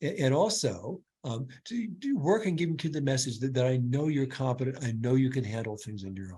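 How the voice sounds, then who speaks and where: This man's voice sits at a medium pitch, with a dark, mellow tone and a somewhat breathy edge. He talks at a fairly quick pace with very wide pitch swings and hardly any pauses. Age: 70s. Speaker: clinical neuropsychologist. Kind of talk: webinar Q&A answer. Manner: halting, many repetitions.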